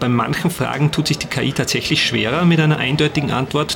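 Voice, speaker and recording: A man speaks at a moderate pace with fairly even intonation. Noticeable background noise sits behind him. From Austria, Salzkammergut. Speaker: multimedia artist and podcast creator. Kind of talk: behind-the-scenes interview. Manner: hesitant, many fillers and repetitions.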